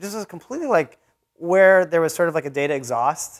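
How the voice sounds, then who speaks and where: A fairly quick pace against a quiet background. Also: man. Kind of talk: informal talk to an audience. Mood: relaxed, a bit nervous. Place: meeting room.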